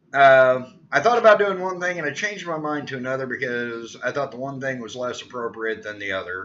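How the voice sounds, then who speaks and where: A man of medium pitch speaks with very wide pitch swings. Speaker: personal development vlogger. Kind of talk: casual monologue. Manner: stuttering today; halting, many fillers.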